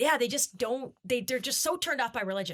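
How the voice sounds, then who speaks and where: Her intonation lively, a woman speaks with a high pitch and a bright, sharp tone. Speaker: podcast host. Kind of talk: casual interview chat. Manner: fast.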